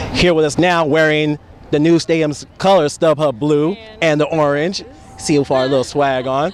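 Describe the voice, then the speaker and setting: His pitch fairly high for a man, he talks at a moderate speed as noticeable noise carries on behind him. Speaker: sports radio host. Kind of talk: sports radio interview host. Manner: upbeat.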